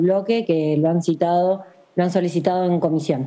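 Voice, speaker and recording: A woman's fairly low voice at a fairly quick pace. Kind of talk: parliamentary speech. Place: home room. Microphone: video call.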